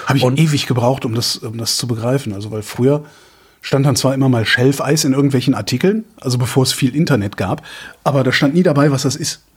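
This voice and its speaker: A man talks at a very fast pace in a medium pitch. His voice is somewhat breathy, with ordinary pitch variation. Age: 50s. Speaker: podcast co-host. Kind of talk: casual chat. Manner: halting.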